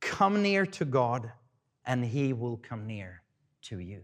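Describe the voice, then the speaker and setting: The speaker talks at a fairly slow pace with very wide pitch swings. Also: man. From Sweden. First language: Swedish. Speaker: pastor. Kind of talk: sermon. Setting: church. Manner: halting, with repetitions.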